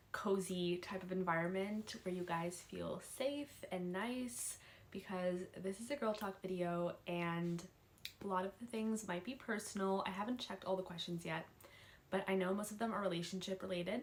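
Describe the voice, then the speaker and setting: Ordinary pitch variation marks an unremarkable speaking voice that proceeds at a moderate speed. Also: woman, medium pitch for a woman. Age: 19. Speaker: YouTuber and college student. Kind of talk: casual advice vlog. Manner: casual, chatty.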